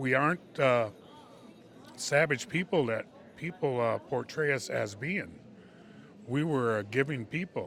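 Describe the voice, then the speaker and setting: A man with an American accent talks at a fairly high pitch with lively intonation. His pace is fairly slow, broken by long, frequent pauses. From Wisconsin, Mohican community. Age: 60s. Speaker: powwow drummer and singer. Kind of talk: interview testimony. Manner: hesitant, repetitive with fillers.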